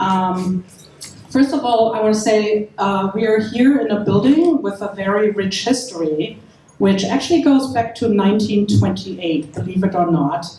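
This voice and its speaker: With a German accent and lively intonation, the speaker goes at a moderate pace over noticeable background noise. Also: woman, medium pitch for a woman. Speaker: event host for a preservation group. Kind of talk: opening remarks at a panel event.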